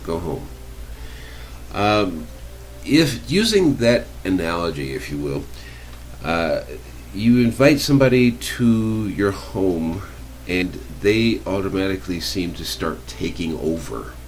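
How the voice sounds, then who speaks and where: With an American accent, a man speaks fairly slowly in a very deep, low pitch that swings very widely, leaving long, frequent pauses. Noticeable background noise and audible room echo surround him. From Americas. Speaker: radio host. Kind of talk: interview.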